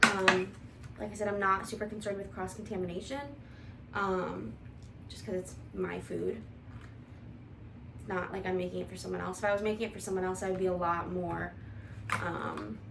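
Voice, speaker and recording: With audible room echo, a woman mumbles through long, frequent pauses. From US Midwest, Toledo, Ohio. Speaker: vlogger, IT analyst. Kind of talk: casual cooking vlog chat. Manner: mumbling.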